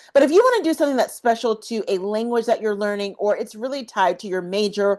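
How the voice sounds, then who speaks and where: Against a quiet background, a woman with an American accent talks in a plain, everyday voice, her fairly high pitch rising and falling with lively intonation. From US South. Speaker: study abroad advisor, YouTuber. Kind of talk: tutorial. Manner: casual, conversational.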